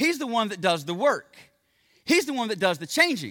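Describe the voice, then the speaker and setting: A man projects a raised voice with a bright, sharp tone and very wide pitch swings. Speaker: pastor. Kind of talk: sermon. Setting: church. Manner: fast talker; informal, friendly.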